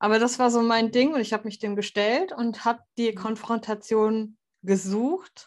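In a normal speaking voice, a woman talks at a moderate pace with a fairly high pitch and ordinary pitch variation, the background quiet. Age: 30s. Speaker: podcast host. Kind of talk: casual chat.

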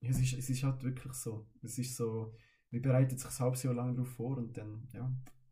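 In a room with audible echo, a man talks at a moderate pace in a dark, mellow, somewhat breathy voice of medium pitch, with monotone, flat intonation. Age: 20s. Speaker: carnival band musician. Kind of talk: casual chat.

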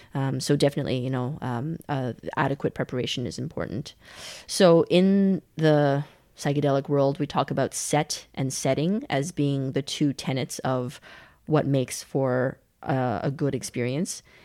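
A woman's very deep, low-pitched voice with a dark, mellow tone and a Western Canadian accent, at a moderate pace with ordinary pitch variation, on a very clean recording with a silent background. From Canada (Calgary), born in China. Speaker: podcaster and storyteller. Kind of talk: casual interview conversation. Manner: hesitant, many fillers.

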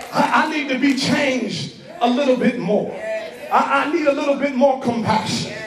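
Amid noticeable background noise, a man with an animated tone talks at a moderate pace and an extremely high pitch, with ordinary pitch variation. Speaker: preacher. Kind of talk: sermon, preacher in full flow, rallying a live congregation with call-and-response. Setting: church with congregation. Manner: animated, loud, fervent, exhorting the crowd with shouted refrains.

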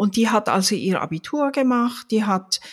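Very wide pitch swings at a fairly slow pace, in a very clean recording with a silent background. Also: woman. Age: 60s. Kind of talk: casual chat.

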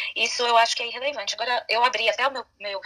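The woman talks at a very fast pace. Her voice is high, with ordinary pitch variation. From Brazil. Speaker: lawyer. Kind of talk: casual chat.

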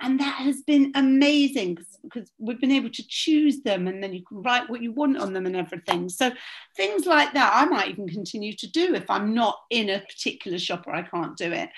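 A woman's fairly high voice with very wide pitch swings, at a fairly quick pace. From southern England. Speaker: relaxation coach. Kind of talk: guided meditation; casual chat.

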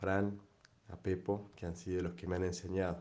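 A man with an Argentine accent, very deep and low in pitch, dark and mellow in tone, with monotone, flat intonation. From Argentina, Entre Ríos. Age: 30s. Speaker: father giving a testimony. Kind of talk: personal testimony.

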